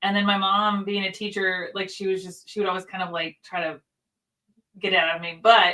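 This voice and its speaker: A woman with an American accent talks at a fairly quick pace in a medium pitch. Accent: subtle Southern twang, mostly toned down. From US South, Nashville. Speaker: livestream co-host. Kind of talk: casual chat.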